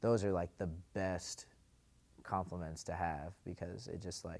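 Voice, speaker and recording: A man with an American accent speaks in a very deep, low voice with fairly even intonation, recorded very cleanly against a silent background. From eastern Washington, US. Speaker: rapper. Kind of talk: interview. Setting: sit-down interview. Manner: casual, filler-heavy.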